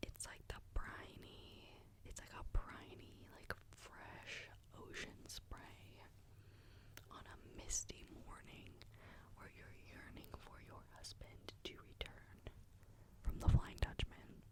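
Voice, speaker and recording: The whispering comes at a very slow pace, broken by long, frequent pauses and marked by big swings in loudness. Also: woman. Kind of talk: ASMR whispered perfume review talking to camera. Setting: studio, close microphone. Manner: whispered, soft-spoken.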